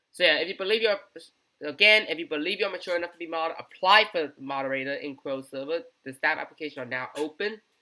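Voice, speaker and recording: A man rushes along at a very fast pace and high pitch with hardly any pauses. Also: ordinary pitch variation. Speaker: gaming community news host. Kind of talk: unscripted casual news commentary.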